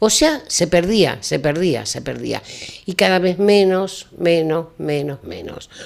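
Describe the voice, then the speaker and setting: The speaker talks very slowly with ordinary pitch variation, and the loudness swings widely. Background noise is noticeable. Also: woman, fairly low pitch for a woman. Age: 80s+. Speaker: retired teacher. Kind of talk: talk show interview.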